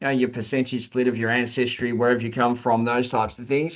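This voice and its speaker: A man talks at a very fast pace. His pitch is medium, and he has an Australian accent. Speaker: company executive. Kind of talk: interview. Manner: halting, with frequent repetitions and fillers.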